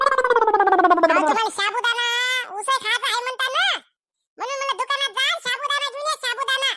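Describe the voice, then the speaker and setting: Using a squeaky, cartoonish character voice, a woman speaks at a moderate pace in an extremely high pitch. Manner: loud, exasperated.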